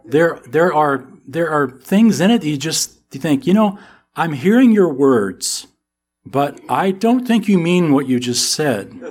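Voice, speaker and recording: On a very clean recording with a silent background, a man with an American accent speaks at a fairly slow pace, his fairly high pitch moving in very wide swings. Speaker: Bible teacher. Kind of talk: sermon. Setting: church. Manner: animated.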